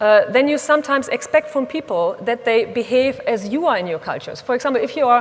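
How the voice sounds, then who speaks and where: With a German accent, a woman speaks at a fairly quick pace and high pitch with ordinary pitch variation, over noticeable background noise. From Germany. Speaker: speaker on women in leadership. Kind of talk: conference talk. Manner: blunt.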